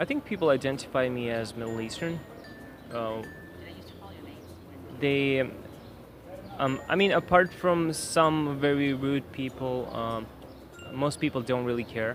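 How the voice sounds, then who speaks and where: Long, frequent pauses mark fairly slow speech in a Pashto accent, with noticeable background noise. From Pashtun region (Afghanistan/Pakistan). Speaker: immigrant interviewee. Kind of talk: interview answers. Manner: hesitant, many fillers.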